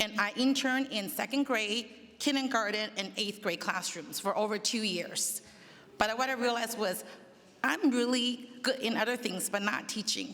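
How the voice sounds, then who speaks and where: At a moderate pace, a woman with a slight non-native accent talks in a fairly high voice with ordinary pitch variation. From immigrant, grew up in the Bay Area from age ten. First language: not English. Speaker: school district administrator. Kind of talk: personal introduction speech. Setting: public meet and greet event. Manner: informal with hesitations.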